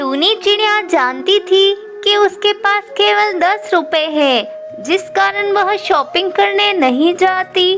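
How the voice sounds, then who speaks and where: A cartoonish character voice at an extremely high pitch speaks at a very slow pace over clear music in the background. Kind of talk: children's moral story narration.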